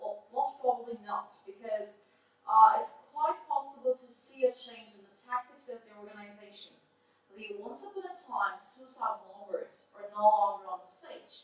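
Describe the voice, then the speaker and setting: The voice moves at a moderate pace, with big swings in loudness and very wide pitch swings. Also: woman, high pitch for a woman. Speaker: conference presenter. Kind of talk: academic conference presentation. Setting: conference room with audience, no microphone.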